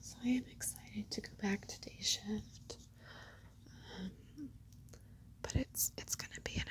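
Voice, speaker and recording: A woman is whispering. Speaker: nurse. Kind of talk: ASMR whisper ramble. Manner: whispered; casual, rambling.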